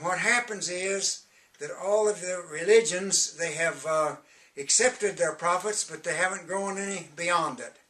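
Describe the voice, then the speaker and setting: Over noticeable background noise, a man talks at a high pitch and fairly slow pace, with ordinary pitch variation and big swings in loudness. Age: 80s+. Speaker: self-styled prophet and religious author. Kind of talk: direct-to-camera religious message promoting books. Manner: halting, frequent hesitations.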